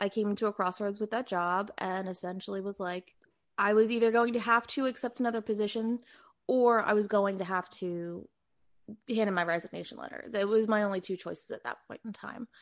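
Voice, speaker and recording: Against a quiet background, a woman with an unremarkable speaking voice talks at a fairly quick pace, at medium pitch, with fairly even intonation. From US Northeast, Philadelphia. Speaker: full-time reseller, former fashion corporate employee. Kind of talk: casual interview.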